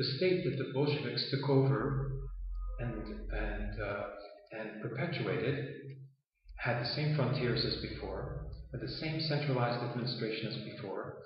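With noticeable background noise behind him, a man speaks at medium pitch and a moderate pace. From Toronto, Canada. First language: Yiddish. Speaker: political activist and author. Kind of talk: interview. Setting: in Palestine. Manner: halting, with frequent fillers.

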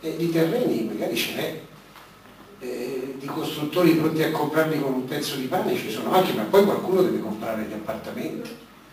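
Amid light background noise and audible room echo, a man talks at a fairly quick pace with lively intonation and a fairly high pitch. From Rome; Italy. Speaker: former magistrate; speaker. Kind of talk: panel discussion. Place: hall.

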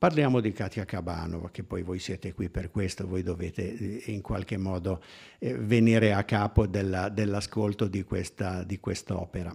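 Against a quiet background, a man with a very deep, low pitch talks at a moderate pace, somewhat breathy, with fairly even intonation. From Turin, northern Italy; northern Italy. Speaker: musicologist. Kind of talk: lecture. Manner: halting. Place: hall. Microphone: podium.

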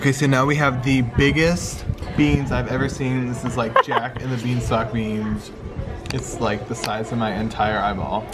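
Clear music plays behind a man who speaks at a moderate pace with ordinary pitch variation. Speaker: travel vlogger. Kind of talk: casual vlog chat. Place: cafe. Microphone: phone near.

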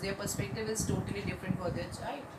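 Noticeable background noise behind a woman talking. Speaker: teacher. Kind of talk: lecture. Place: home room. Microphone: phone near.

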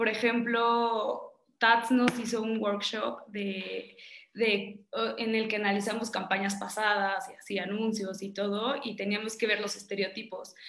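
In a room with audible echo, a woman speaks at a fairly slow pace in a monotone, flat intonation. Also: fairly high pitch for a woman. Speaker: creative copywriter in advertising. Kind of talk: panel discussion, casual. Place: home room. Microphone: video call.

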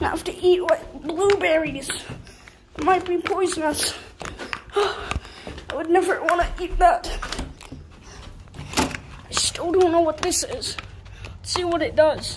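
An extremely high-pitched cartoonish character voice shouts at a fairly slow pace. Long, frequent pauses break it up over clear background noise. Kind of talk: playful homemade puppet show. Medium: puppet show. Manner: chatty, excitable, easily startled.

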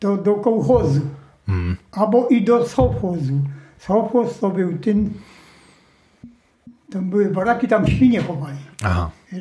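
A man's high-pitched voice at a fairly slow pace, with lively intonation, long, frequent pauses, and audible room echo. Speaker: World War II survivor, former forced labourer in a mine. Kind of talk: interview answer. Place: home room.

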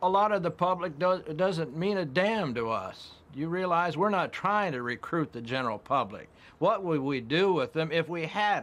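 A man's high voice with an American accent and lively intonation at a moderate pace, on a very clean recording with a silent background. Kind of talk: documentary interview.

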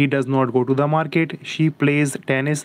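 This man's voice sits at a fairly high pitch. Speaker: English teacher. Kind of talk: live online English lesson. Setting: YouTube livestream. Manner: slow, dictation-like reading of example sentences.

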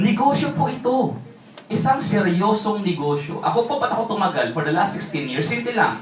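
A man speaks at a moderate pace in a high pitch, with an animated tone and lively intonation. Music plays in the background, and room echo is audible. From Philippines, Tagalog region. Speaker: network marketing speaker. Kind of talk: sales pitch.

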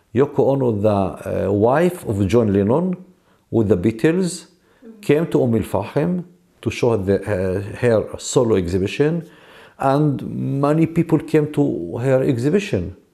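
A man with a Palestinian accent speaks at a medium pitch and a fairly slow pace, his dark, mellow tone swinging very widely in pitch while his loudness stays very even against a quiet background. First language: Arabic. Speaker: artist and gallery founder. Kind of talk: interview. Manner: halting, many filler sounds. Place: home room.

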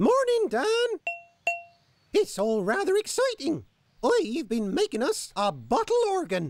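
A woman performs a cartoonish character voice, high-pitched with very wide pitch swings, at a fairly slow pace with long, frequent pauses. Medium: puppet show. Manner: bright, encouraging, a little prim.

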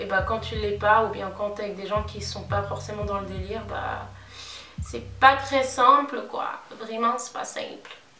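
A woman speaks at a fairly slow pace with big swings in loudness. Audible room echo and light background noise are present. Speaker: beauty vlogger. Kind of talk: casual vlog chat. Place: home room. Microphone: phone near.

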